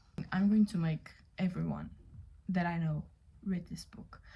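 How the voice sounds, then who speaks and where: Her voice is fairly low in pitch, somewhat breathy, and dark and mellow in tone, and this woman speaks with a non-native accent. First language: not English. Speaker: book reviewer. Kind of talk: casual book review vlog. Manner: casual, many fillers.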